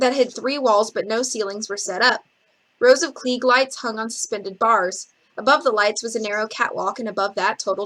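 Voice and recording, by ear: With little sound behind it, the clip has someone reading aloud in a natural voice.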